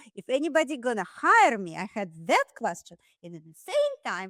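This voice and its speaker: A woman with a Russian accent speaks at a fairly slow pace in a dry, close sound with no echo. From Russia, Saint Petersburg. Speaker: dentist. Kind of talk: podcast interview.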